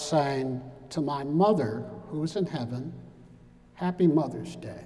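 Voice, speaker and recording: With an American accent, a man talks at a very slow pace in a fairly high pitch with ordinary pitch variation, over noticeable background noise. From US Midwest, Detroit. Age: 70s. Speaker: civil rights activist and former politician. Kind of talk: keynote speech. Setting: podium at university graduation with audience.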